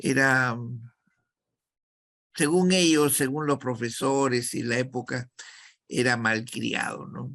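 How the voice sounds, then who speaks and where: A man with a medium pitch and a bright, sharp tone talks at a very slow pace. His intonation stays fairly even, broken by long, frequent pauses. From Peru, Callao. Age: 70s. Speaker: actor and acting teacher. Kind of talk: interview.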